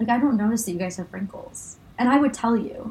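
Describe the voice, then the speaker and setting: The speech races along at a very fast pace, with noticeable background noise. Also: woman. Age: 20s. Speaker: medical student and podcast co-host. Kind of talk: casual chat.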